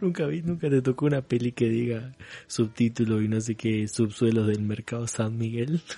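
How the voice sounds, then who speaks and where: Here is a man with a dark, mellow, somewhat breathy tone at medium pitch. He keeps a moderate pace and ordinary pitch variation. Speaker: podcast co-host. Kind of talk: casual chat.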